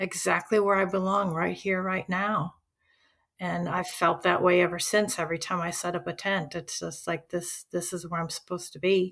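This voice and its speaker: At a moderate pace, a woman speaks in a medium pitch with monotone, flat intonation and a bright, sharp tone, recorded very cleanly against a silent background. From US Midwest, Chicago. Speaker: retired teacher. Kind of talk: casual interview.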